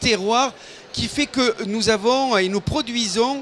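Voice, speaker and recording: Noticeable background noise accompanies a man with a southern French accent and a high pitch. He talks at a fairly slow pace with ordinary pitch variation. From southern France, Hérault, Languedoc. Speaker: wine industry council president. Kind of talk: interview. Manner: hesitant, many fillers.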